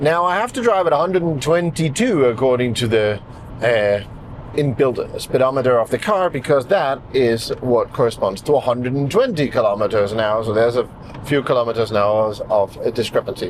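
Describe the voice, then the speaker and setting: The speaker goes at a fairly quick pace with lively intonation. Noticeable background noise is present. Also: man, medium pitch for a man. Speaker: car reviewer / channel host. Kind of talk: video review with driving commentary. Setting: outdoors, then inside a car.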